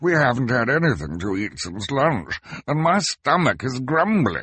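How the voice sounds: A man's put-on character voice, medium in pitch, fairly slow, with very wide pitch swings, a fairly bright tone and a slightly husky edge.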